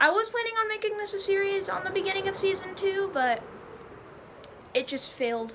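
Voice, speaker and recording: A woman's extremely high voice with very wide pitch swings, long, frequent pauses, and audible room echo. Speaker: gaming youtuber. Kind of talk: gameplay commentary. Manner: halting.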